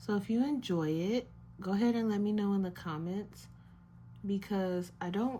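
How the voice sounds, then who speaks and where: A soft-spoken woman's somewhat breathy voice, dark and mellow in tone, with ordinary pitch variation and a fairly slow pace. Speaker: art YouTuber painting while chatting. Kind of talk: casual chat while painting. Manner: relaxed, with many filler ums. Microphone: may be too quiet, listeners may need to turn volume up.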